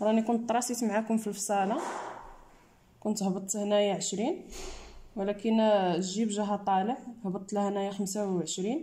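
Fairly even intonation from a woman speaking at a moderate pace. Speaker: sewing teacher. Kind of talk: tutorial. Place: workshop. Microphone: phone near.

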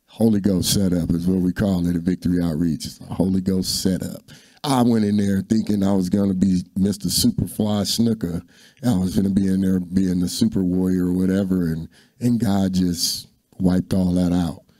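Against a quiet background, a man with a very deep, low pitch and a dark, mellow tone talks at a moderate pace. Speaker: interview guest. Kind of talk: interview answer, personal testimony. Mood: earnest, reflective. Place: studio. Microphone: handheld.

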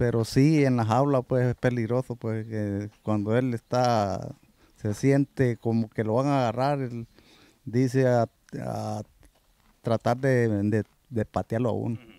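Over a quiet background, a man speaks at a fairly slow pace in a dark, mellow tone with monotone, flat intonation and a dry sound with no echo. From El Salvador. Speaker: horse groom. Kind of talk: interview. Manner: halting. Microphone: handheld.

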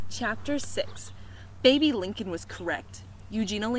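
Natural reading aloud, full of lively intonation

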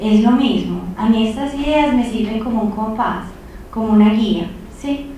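A woman's fairly high voice in a paisa accent at a fairly slow pace, with strong room echo and light background noise. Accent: paisa Medellín drawl. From Colombia, Medellín. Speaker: peace studies professor. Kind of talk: lecture. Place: hall.

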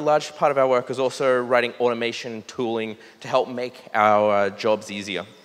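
A moderate pace in an Australian accent. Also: man. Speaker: site reliability engineer. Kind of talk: conference talk. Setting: stage with audience. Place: hall. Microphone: podium.

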